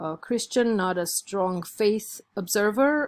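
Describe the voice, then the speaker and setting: A woman with an Armenian accent at a fairly slow pace, on a very clean recording with a silent background. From Armenia, Yerevan. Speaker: college instructor. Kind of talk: lecture.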